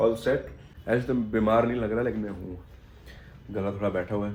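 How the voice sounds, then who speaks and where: A man talks at a moderate pace. Audible room echo follows his words. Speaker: vlogger and stage performer. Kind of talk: casual travel vlog.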